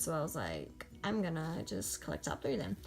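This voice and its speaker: At a fairly quick pace, a woman speaks while music plays behind her. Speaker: kpop collector youtuber. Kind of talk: casual show-and-tell vlog. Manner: fast, rambling with fillers.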